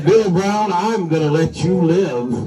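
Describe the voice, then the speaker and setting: Over clear background noise, a man does a put-on character voice at a high pitch and a fairly slow pace. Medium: read story. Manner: menacing.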